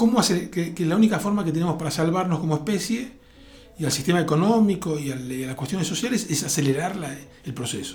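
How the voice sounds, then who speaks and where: Talking very fast with lively intonation, a man with a high-pitched voice is heard with audible room echo. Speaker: futurist and tech entrepreneur. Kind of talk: interview.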